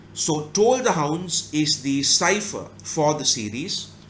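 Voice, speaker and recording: Speaking with a Tamil accent, a man uses a fairly high pitch, lively intonation and some vocal fry. His pace is very slow. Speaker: book review YouTuber. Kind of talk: casual analytical monologue.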